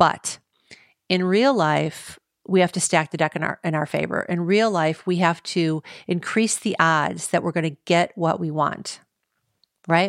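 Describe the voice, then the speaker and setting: In a very clean recording with a silent background and a dry, close sound with no echo, a woman with an ordinary speaking voice talks fairly slowly at a fairly low pitch, using ordinary pitch variation. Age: 50s. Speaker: dating podcast host. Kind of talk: solo podcast monologue.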